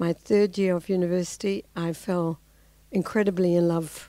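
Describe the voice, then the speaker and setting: A woman with a New Zealand accent speaks at a medium pitch in a dark, mellow tone, her intonation flat and monotone, on a very clean recording with a silent background. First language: Dutch. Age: 60s. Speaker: civil society activist. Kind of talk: talk to an audience. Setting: lecture with audience and translator. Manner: halting with fillers.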